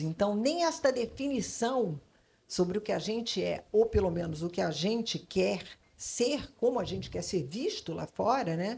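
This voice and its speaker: With vocal fry and lively intonation, a woman talks at a fairly high pitch and moderate pace on a very clean recording with a silent background. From Brazil, Rio / São Paulo / Salvador. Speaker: advertising creative consultant. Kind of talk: panel discussion. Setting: stage with audience at literary festival. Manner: hesitant, many fillers.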